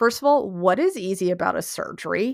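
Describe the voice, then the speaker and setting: A woman with an American accent speaks at a medium pitch in an animated tone. The recording is very clean, with a silent background. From Oregon. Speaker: podcast host. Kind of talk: casual monologue.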